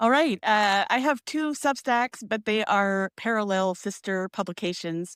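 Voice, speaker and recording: A woman with a plain, everyday voice talks at a fairly slow pace with hardly any pauses, her pitch fairly high, in a very clean recording with a silent background and a dry, close sound with no echo. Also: ordinary pitch variation. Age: 50s. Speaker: poet and memoir writer. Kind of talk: casual livestream chat.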